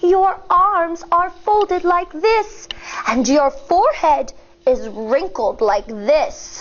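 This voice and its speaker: A woman's put-on character voice, extremely high in pitch, with very wide pitch swings and a very slow pace. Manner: soothing.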